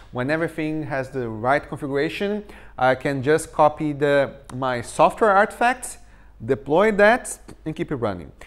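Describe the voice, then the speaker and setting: Over a silent background in a very clean recording, a man with a Portuguese accent talks at a moderate pace with a fairly high pitch and lively intonation. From Brazil. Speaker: tech conference speaker. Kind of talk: technical talk.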